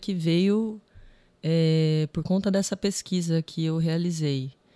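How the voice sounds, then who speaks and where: A woman with a plain, everyday voice, fairly low in pitch, with ordinary pitch variation. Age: 30s. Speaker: filmmaker. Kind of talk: podcast interview.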